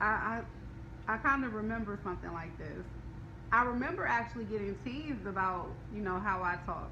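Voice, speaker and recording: Fairly quick speech from a woman, over noticeable background noise and audible room echo. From Detroit, US. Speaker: business coach. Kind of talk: live stream chat.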